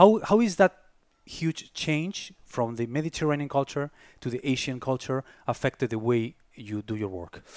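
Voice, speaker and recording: In an unremarkable speaking voice of medium pitch, a man talks at a moderate pace with lively intonation, in a dry, close sound with no echo. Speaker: podcast host. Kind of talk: casual interview chat.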